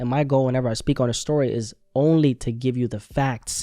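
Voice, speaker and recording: With a non-native accent, a man speaks at a moderate pace and medium pitch. His tone is dark and mellow, his intonation fairly even. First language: not English. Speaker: commentary youtuber. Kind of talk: news commentary. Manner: casual, conversational.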